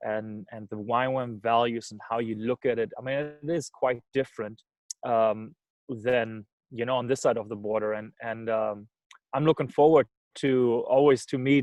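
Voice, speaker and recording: A man's medium-pitched voice at a moderate pace, fairly even in intonation, with a dry, close sound and no echo. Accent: German. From Germany. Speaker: missions organization director. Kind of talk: talk on video call. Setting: video call. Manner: hesitant, many fillers.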